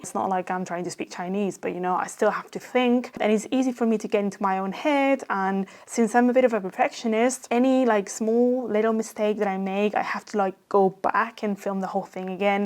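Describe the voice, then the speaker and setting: Speaking at a fairly quick pace with hardly any pauses, a woman with a non-native accent keeps her medium pitch in fairly even intonation. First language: Spanish and Catalan. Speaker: YouTube growth coach. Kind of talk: casual vlog talk to camera.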